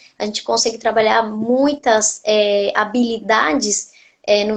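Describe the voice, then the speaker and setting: Speaking with a slight Argentine accent, a woman talks at a fairly slow pace in a monotone, flat way. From Argentina. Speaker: nutritionist. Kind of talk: interview on a live stream.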